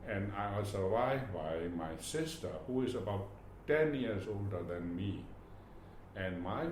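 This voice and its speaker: A man with a Burmese accent speaks at a fairly slow pace and a fairly low pitch, with ordinary pitch variation. Noticeable background noise and audible room echo are present. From Myanmar. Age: 80s+. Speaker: retired government official. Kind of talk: oral history interview. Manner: halting, with many repetitions.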